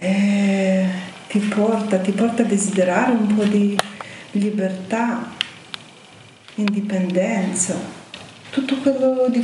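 In a Ukrainian accent, a woman speaks at a very slow pace with fairly even intonation, with audible room echo and light background noise. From Ukraine. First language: Ukrainian (speaking Italian). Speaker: Ukrainian resident interviewee; interviewee. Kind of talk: emotional testimony. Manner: faint, choked voice. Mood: serious, worried. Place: studio.

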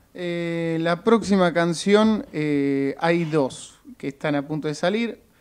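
A man with a Rioplatense accent, high in pitch with ordinary pitch variation, at a very slow pace with hardly any pauses. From Argentina. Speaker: actor and musician; actor. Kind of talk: radio interview. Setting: radio studio. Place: studio. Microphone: studio mic.

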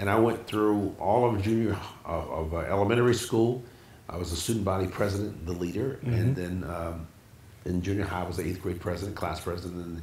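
A man with a very deep, low pitch speaks at a very fast pace with ordinary pitch variation. Light background noise and audible room echo fill the recording. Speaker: interview guest, pastor. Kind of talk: interview answer. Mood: warm, reminiscing, some laughs. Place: home room.

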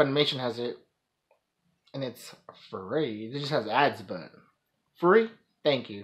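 With lively intonation and a fairly slow pace, a man speaks over a quiet background. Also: big swings in loudness. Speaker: anime reaction vlogger. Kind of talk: casual reaction commentary. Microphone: phone near.

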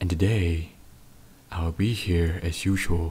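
A man's very deep, low voice, somewhat breathy, with a dark, mellow tone. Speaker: podcaster. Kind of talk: casual intro to listeners. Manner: soft-spoken.

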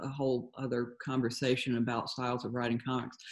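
A woman speaks with an American accent against a quiet background. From Georgia, US South. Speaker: comic artist. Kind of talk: interview. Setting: video call. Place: home room. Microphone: video call.

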